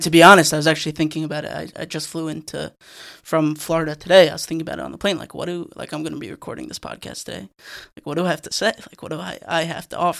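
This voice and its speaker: On a very clean recording with a silent background, a man with a fairly high pitch talks at a very fast pace, his intonation fairly even, his loudness swinging widely and his voice showing vocal fry. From New York (Rockland County). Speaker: podcast co-host and editor. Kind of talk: casual chat.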